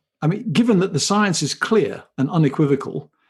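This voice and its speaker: Against a quiet background, a man with a British accent speaks at a moderate pace with very wide pitch swings. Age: 60s. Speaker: company chief executive. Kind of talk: interview. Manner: hesitant, repeats words.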